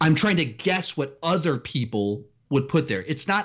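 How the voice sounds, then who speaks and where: Here is a man with an American accent and a fairly high voice for a man. He moves at a moderate pace with very wide pitch swings and vocal fry. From Texas, Austin area. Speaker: movie YouTuber. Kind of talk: interview.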